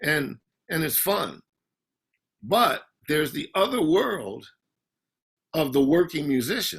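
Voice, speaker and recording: A man with vocal fry and a fairly high pitch speaks at a fairly slow pace, leaving long, frequent pauses. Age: 60s. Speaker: session guitarist. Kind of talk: interview. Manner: halting.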